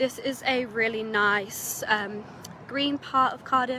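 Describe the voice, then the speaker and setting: A woman's voice with fairly even intonation, a dry sound with no echo, and noticeable background noise. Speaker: student guide. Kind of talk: casual vlog chat. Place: street. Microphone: phone near.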